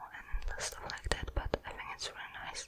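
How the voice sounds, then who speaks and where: A woman whispers while clear background noise carries on around her. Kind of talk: ASMR whispered ramble. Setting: close-up microphone. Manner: whispered.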